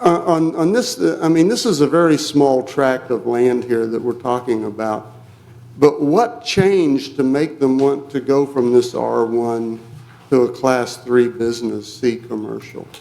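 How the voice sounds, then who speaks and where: A man with an American accent speaks at a medium pitch and a fairly slow pace, with ordinary pitch variation. Audible room echo and noticeable background noise fill the recording. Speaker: resident speaking at public hearing. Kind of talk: public comment at council meeting. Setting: city council meeting. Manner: soft-spoken.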